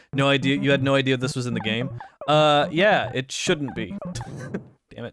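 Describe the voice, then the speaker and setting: Over music in the background, a man with a fairly high pitch talks at a moderate pace with ordinary pitch variation and long, frequent pauses. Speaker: video game streamer. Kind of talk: live gameplay stream chatting with viewers. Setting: live stream. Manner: halting, stumbles over words.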